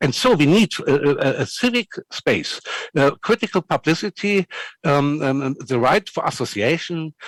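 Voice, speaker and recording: Talking at a moderate pace in a German accent, a man with a fairly high pitch makes very wide pitch swings, recorded with a dry, close sound and no echo. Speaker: civil society network representative. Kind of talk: panel discussion. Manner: halting.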